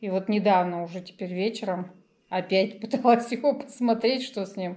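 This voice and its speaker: Ordinary pitch variation from a woman speaking at a moderate pace. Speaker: vlogger. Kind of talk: casual vlog chat. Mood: wry, resigned storytelling. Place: home room. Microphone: phone near.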